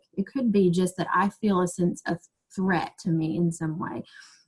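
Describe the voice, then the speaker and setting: A woman with a medium pitch and a somewhat breathy voice talks with ordinary pitch variation. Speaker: teacher and trauma-informed education trainer. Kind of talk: webinar presentation. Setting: online video webinar. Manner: fast.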